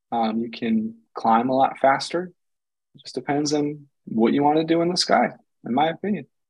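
A man with an American accent talks at a moderate pace in a fairly high pitch and ordinary pitch variation. He has an unremarkable speaking voice. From Michigan. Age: 20s. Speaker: paramotor pilot. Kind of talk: casual chat.

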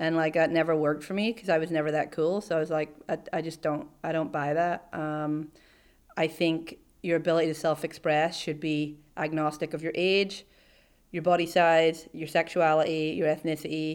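On a very clean recording with a silent background, a woman with an Irish accent speaks at a moderate pace in a very deep, low pitch with monotone, flat intonation. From Ireland. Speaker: CEO. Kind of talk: interview. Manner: casual, hesitant fillers.

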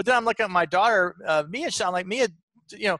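A man speaks in a high, raised and projected voice with a bright, sharp tone and lively intonation. The sound is dry and close, with no echo. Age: 50s. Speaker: real estate investor and company founder. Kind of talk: interview.

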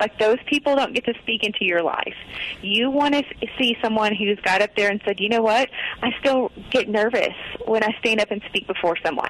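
Noticeable background noise sits behind a woman with a fairly high pitch. Her loudness stays very even, and her pitch varies in an ordinary way. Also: moderate pace. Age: 40s. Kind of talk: casual interview.

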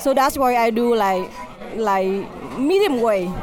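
Crowd noise murmurs in the background as the speaker talks with a Vietnamese accent. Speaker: restaurant owner.

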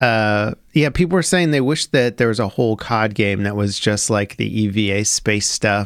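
A man with a fairly low pitch speaks at a moderate pace in an ordinary speaking voice, with ordinary pitch variation and very even loudness. The recording is very clean, with a silent background. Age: 30s. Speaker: gaming podcast host. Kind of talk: casual chat. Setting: home studio.

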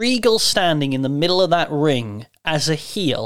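With an English accent, a man speaks in a fairly high voice with lively intonation on a very clean recording with a silent background. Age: 30s. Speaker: wrestling podcast host, broadcaster. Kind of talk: casual chat.

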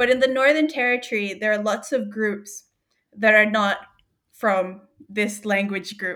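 A woman speaks at a fairly high pitch with ordinary variation and a bright, sharp tone. Her pace is fairly slow. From Australia, New South Wales. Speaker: linguist. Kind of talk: casual interview chat. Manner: animated.

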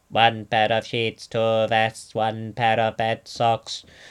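A man puts on a character voice at medium pitch. He speaks at a very slow pace with monotone, flat intonation. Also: very clean recording, silent background. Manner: monotonous.

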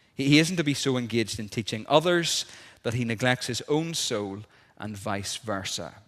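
On a very clean recording with a silent background, a voice with a Northern Irish accent speaks with lively intonation. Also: man, medium pitch for a man, moderate pace. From Northern Ireland, South Armagh. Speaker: minister. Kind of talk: sermon. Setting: church.

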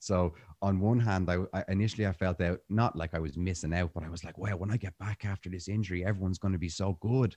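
A man with an Irish accent, very deep and low in pitch with a dark, mellow tone, at a very fast pace with hardly any pauses and fairly even intonation, in a dry, close sound with no echo. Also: quiet background. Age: 30s. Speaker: jiu-jitsu instructor and breathwork teacher. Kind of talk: casual interview conversation.

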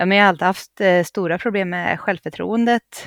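A woman with a Gästrikland accent speaks at a medium pitch with ordinary pitch variation. The recording is very clean, with a silent background and a dry, close sound with no echo. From Gävleborg, Sweden. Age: 30s. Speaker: reality TV contestant. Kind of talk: casual chat.

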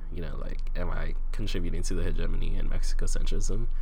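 A man with an American accent talks at a very fast pace, with audible room echo. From US Southwest. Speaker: podcast co-host. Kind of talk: casual chat. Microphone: better new mic.

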